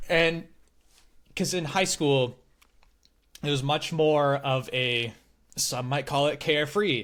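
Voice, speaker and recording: The voice belongs to a man. Everything is very clean, the background silent. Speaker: podcast creator interviewed about his education. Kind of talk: casual interview chat. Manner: loud; animated.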